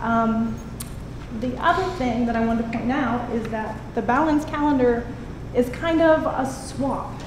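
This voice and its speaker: With an American accent, a woman speaks at a high pitch amid noticeable background noise and audible room echo. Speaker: teacher. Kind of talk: public comment at a meeting. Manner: animated.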